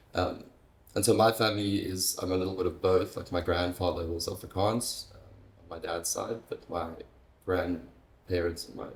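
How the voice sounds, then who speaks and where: With a very deep, low voice, a man speaks at a moderate pace, somewhat breathy and in a monotone, flat intonation. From South Africa, Stellenbosch, Western Cape. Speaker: interview guest. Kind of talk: casual conversation. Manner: halting, many fillers and restarts.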